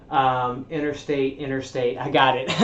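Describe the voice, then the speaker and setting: There is audible room echo as a man speaks. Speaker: livestreamer teaching self-development ideas. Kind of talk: livestream presentation. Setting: livestream. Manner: conversational, verbose.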